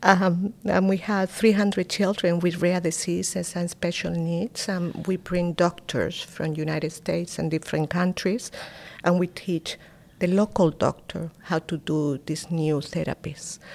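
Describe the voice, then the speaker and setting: Over a silent background in a very clean recording, a woman with a Spanish accent speaks at a fairly slow pace, fairly low pitch, and fairly even intonation. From Spain. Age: 50s. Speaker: philanthropist. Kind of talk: interview.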